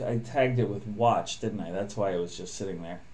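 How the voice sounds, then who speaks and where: A man's voice carries audible room echo, with noticeable background noise as well. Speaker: programmer live-streaming coding. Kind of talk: live coding stream. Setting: live stream.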